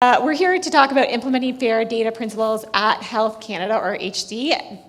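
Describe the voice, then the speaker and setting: Amid noticeable background noise and audible room echo, a woman talks at a fairly quick pace with a fairly high pitch and ordinary pitch variation. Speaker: government data advisor, former researcher. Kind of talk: conference presentation. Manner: fast.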